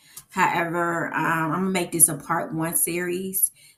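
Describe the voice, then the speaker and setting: A woman with a fairly low pitch. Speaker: book vlogger. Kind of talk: casual vlog talk. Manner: slow; hesitant, many fillers.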